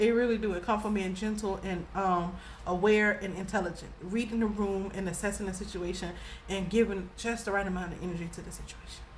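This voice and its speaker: Audible room echo surrounds a woman talking at a fairly quick pace. Her pitch is medium, with vocal fry. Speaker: spiritual reader and YouTuber. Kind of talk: casual storytelling monologue. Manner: animated, passionate.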